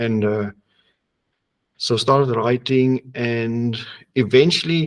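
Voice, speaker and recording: A man with a medium pitch talks at a very slow pace, keeping his intonation fairly even. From South Africa. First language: Afrikaans or other non-English (second language English). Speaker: horror publisher and editor. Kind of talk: interview. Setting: studio.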